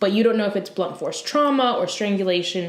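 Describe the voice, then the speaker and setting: A woman's voice with lively intonation and audible room echo. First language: not English. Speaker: true crime podcast co-host. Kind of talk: casual podcast chat.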